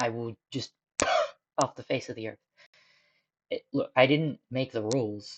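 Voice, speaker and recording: Dry, close sound with no echo, a fairly slow pace, and ordinary pitch variation. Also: woman. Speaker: streamer, digital artist. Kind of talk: casual live-stream commentary while drawing. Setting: home room during a live stream. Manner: rambling and thinking aloud, with self-interruptions.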